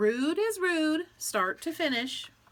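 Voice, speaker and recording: A woman's put-on character voice, extremely high in pitch. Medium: read story. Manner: firm.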